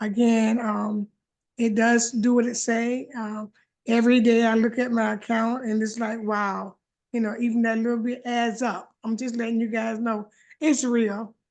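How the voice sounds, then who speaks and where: Her fairly high voice stays monotone and flat as this woman talks at a moderate pace. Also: quiet background. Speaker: participant sharing testimony. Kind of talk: testimony. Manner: loud.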